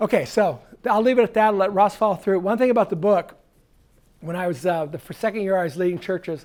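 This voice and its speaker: The man's fairly quick speech comes through on a very clean recording with a silent background. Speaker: church consultant and author. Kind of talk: conference talk. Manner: fast.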